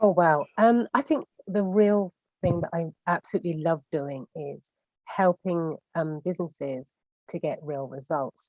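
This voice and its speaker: Recorded dry and close with no echo, a woman with an English accent speaks at a fairly slow pace, her fairly low pitch showing ordinary variation. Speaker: business coach and consultant. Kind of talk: live video interview. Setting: livestream.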